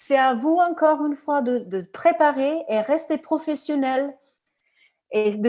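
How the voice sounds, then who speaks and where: A woman's dark, mellow voice at a fairly slow pace, on a very clean recording with a silent background. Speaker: recruiter and career coach. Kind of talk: conference talk with Q&A. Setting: live conference. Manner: animated; halting, many repetitions.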